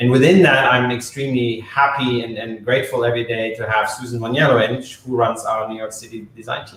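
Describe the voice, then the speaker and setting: Noticeable background noise sits under a man with a German accent who talks at a medium pitch and a fairly quick pace, with fairly even intonation, big swings in loudness and hardly any pauses. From Germany. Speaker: eyewear company marketing executive. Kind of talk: live stream interview.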